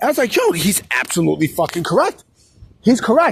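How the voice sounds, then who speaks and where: Using very wide pitch swings, a man talks in a New York accent. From New York City. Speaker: wrestling commentary YouTuber. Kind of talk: casual vlog commentary. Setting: outdoors in a city plaza. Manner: casual, repetitive with filler phrases.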